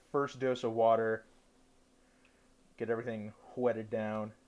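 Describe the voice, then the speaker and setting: Behind the speaker, the background stays quiet. He is a man talking at a moderate pace. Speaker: cooking livestreamer. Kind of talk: cooking tutorial. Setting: livestream from dorm room.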